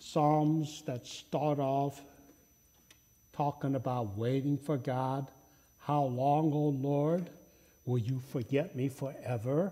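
The speech moves at a very slow pace, broken by long, frequent pauses. Intonation stays fairly even. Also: man. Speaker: pastor. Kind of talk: sermon. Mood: humorous storytelling. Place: church. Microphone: lapel.

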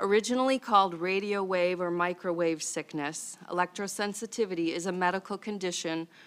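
Fairly even intonation and a moderate pace in a plain, everyday voice. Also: woman. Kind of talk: formal testimony read from notes. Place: hall. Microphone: podium.

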